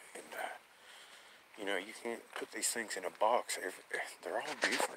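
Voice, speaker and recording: Noticeable background noise is present. Through it, a man talks at a fairly quick pace. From Appalachian Kentucky. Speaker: bigfoot enthusiast, channel owner. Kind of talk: live stream chat. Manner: casual, halting.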